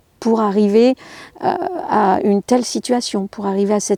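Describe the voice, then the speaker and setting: In a dry, close sound with no echo, a woman speaks at a fairly high pitch with fairly even intonation. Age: 60s. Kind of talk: interview conversation. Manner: halting, many hesitations.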